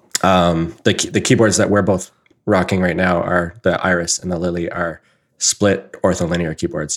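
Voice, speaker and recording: A man with a Canadian accent speaks at a moderate pace in a very deep, low pitch. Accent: Canadian, noticeable 'about'. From southern Ontario, Canada. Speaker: podcast host.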